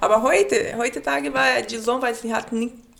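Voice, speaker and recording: A woman with a Brazilian accent, fairly high-pitched, at a moderate pace over noticeable background noise. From Brazil, Manaus. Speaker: café owner and baker. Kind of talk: casual interview. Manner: halting, broken German.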